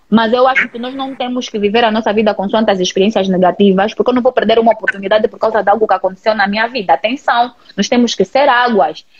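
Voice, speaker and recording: A woman's animated, very fast speech against noticeable background noise. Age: 30s. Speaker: digital influencer. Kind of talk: casual chat.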